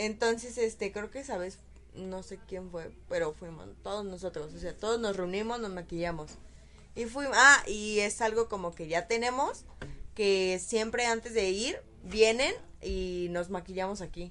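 A woman speaks at a fairly slow pace with a medium pitch and ordinary pitch variation. Her loudness swings widely. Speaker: podcast co-host. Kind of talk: casual chat. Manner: soft-spoken.

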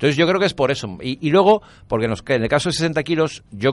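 A man talks at a fairly quick pace with vocal fry and very wide pitch swings. The background is quiet. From Valencia, Spain. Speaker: radio host and writer. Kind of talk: interview.

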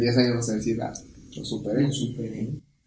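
A man's medium-pitched voice at a fairly quick pace, fairly even intonation and audible room echo. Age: 20s. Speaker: podcast guest. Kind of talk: casual chat.

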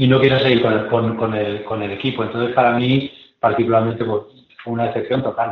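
This man talks fairly quickly at a medium pitch. His delivery is monotone, with flat intonation. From Zaragoza, Spain. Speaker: former handball captain. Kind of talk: casual chat.

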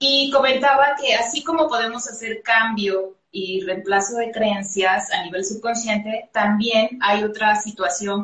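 A woman with a medium-pitched voice speaks at a fairly slow pace with ordinary pitch variation. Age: 40s. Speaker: personal development coach and healing therapist. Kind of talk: live-streamed interview.

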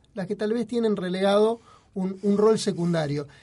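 This man talks at a high pitch, with noticeable background noise behind him. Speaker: radio host. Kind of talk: casual chat. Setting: studio. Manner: poor diction.

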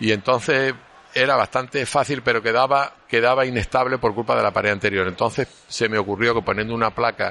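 Speaking at a fairly quick pace, a man has a medium pitch and fairly even intonation. His tone is bright and sharp. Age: 60s. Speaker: orthopaedic surgeon. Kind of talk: interview. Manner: halting.

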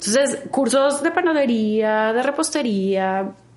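The speech is very slow, with ordinary pitch variation. Background noise is noticeable. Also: woman. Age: 40s. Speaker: health coach and vegan chef. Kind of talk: interview.

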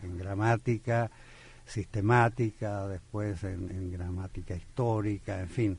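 Against a quiet background, a man speaks very slowly at a fairly low pitch, somewhat breathy, with fairly even intonation. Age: 80s+. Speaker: poet and literature professor. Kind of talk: radio interview. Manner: halting, many fillers.

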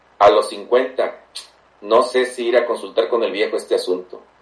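A man talks at a fairly slow pace. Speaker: host's father. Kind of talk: casual chat.

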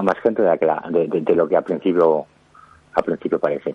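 Over noticeable background noise, a man talks at a fairly quick pace. His very deep, low voice has ordinary pitch variation. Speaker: author. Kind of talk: interview.

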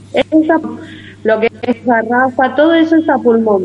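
A woman talks in a high voice while music plays behind her. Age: 30s. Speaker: community kitchen organizer. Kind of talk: interview.

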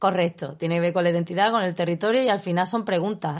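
Here a woman talks at a fairly quick pace. Her pitch is medium. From Zaragoza, Spain, raised in Seville. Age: 20s. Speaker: stage artist and performer. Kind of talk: casual chat.

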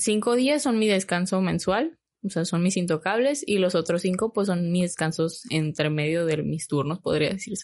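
A woman's plain, everyday voice at a medium pitch, with lively intonation, very even loudness, a moderate pace and hardly any pauses. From Mexico, Hermosillo, Sonora. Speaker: flight attendant. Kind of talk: casual interview.

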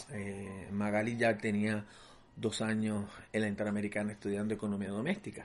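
Speaking at a moderate pace, a man uses an unremarkable speaking voice with a fairly low pitch. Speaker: host's father. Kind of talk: interview storytelling.

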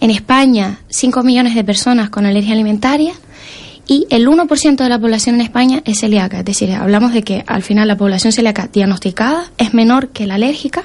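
A woman with a fairly high pitch and ordinary pitch variation, talking at a fairly quick pace over noticeable background noise. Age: 20s. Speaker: allergy coach and entrepreneur. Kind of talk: interview.

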